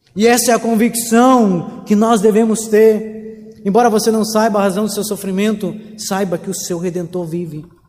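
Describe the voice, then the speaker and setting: His voice high-pitched and his intonation fairly even, the man keeps a moderate pace while noticeable noise sounds in the background. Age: 30s. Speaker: pastor. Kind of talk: sermon.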